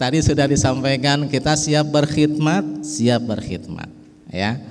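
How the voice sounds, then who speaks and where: A man speaks with a fairly high pitch. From West Java, Betawi parents. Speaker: religious speaker representing a pesantren family. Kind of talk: religious speech at an organisation inauguration.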